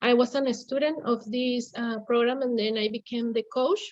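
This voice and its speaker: Speaking with a Mexican accent, a woman uses a high pitch and fairly even intonation. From Mexico. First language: Spanish. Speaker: English class coach, former student. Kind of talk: conference presentation. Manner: halting.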